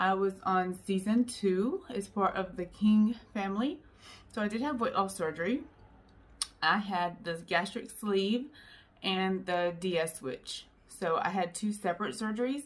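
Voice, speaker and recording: With a normal speaking voice and ordinary pitch variation, a woman talks at a fairly slow pace. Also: medium pitch for a woman. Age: 40s. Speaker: YouTuber sharing weight-loss story. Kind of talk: personal vlog testimony. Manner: casual with frequent fillers.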